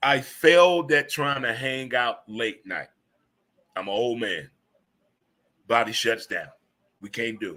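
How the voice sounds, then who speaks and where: The delivery is animated and fairly slow, with ordinary pitch variation, long, frequent pauses and big swings in loudness. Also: man, medium pitch for a man. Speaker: radio show host. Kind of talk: casual talk show monologue.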